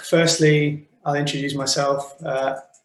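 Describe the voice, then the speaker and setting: Speaking fairly slowly, a man talks with a British accent. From Wales. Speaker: animation director. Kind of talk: online talk presentation. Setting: video call from office.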